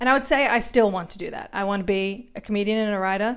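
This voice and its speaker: With an Australian accent, a woman talks very fast in a fairly high, animated voice. The recording is very clean, with a silent background. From Australia, Melbourne. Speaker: comedian and podcast host. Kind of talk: solo podcast monologue.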